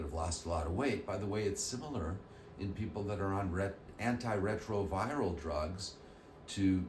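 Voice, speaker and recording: A man speaks with a very deep, low pitch. The recording has audible room echo and noticeable background noise. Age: 60s. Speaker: plastic surgeon. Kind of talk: educational explainer. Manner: casual conversational.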